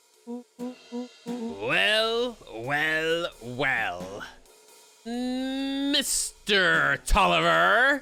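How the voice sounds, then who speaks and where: A put-on character voice, fairly high-pitched and drawling at a very slow pace, with faint music in the background. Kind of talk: long drawn-out drawl. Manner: blustery, drawling.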